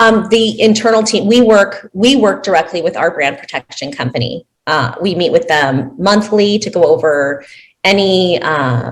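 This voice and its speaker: With very wide pitch swings around a medium pitch, a woman speaks at a moderate pace. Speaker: fraud investigator. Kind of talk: conference Q&A answer. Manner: hesitant.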